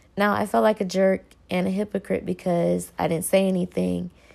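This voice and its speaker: With a Southern US accent, a woman speaks at a moderate pace on a very clean recording with a silent background. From North Carolina, US South. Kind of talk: personal reflection monologue.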